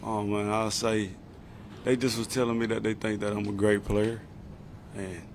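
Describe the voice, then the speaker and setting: In a strong Southern US accent, a man talks at a moderate pace with a fairly low pitch and monotone, flat intonation, and audible room echo surrounds his voice. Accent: strong Southern accent, much remarked on. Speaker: football player. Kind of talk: press conference. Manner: casual, repetitive filler words.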